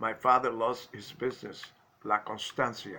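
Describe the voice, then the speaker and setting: Moderate pace and fairly even intonation in a Cuban accent, with music in the background. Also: man. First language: Spanish. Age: 80s+. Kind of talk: personal life story told to camera.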